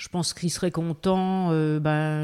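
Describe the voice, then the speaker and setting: A woman speaks at a very slow pace with a very deep, low pitch. Her tone is dark and mellow, and her intonation is fairly even. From eastern France (Belfort). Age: 50s. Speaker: goji berry farmer. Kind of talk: casual interview. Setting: house under renovation.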